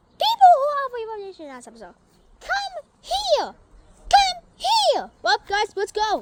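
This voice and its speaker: A cartoonish character voice with an extremely high pitch speaks at a moderate pace, leaving long, frequent pauses. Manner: excitable.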